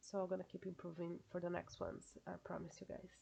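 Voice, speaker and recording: A woman with a Brazilian accent at a moderate pace. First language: Portuguese. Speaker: YouTuber. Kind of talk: casual reaction vlog. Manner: halting, hesitant.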